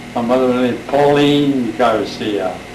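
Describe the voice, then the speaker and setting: Monotone, flat speech in an American accent is heard with audible room echo and noticeable background noise. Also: man. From California, Bay Area. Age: 80s+. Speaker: interviewee recounting family history. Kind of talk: oral history interview. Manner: halting.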